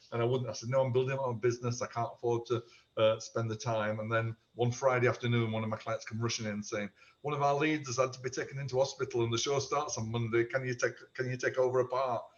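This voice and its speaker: Somewhat breathy and flat in a monotone, the speech moves at a very fast pace. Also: man, medium pitch for a man. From South Yorkshire, England. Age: 60s. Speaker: amateur theatre performer and former hairdresser. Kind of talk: casual podcast interview. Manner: chatty, with frequent fillers.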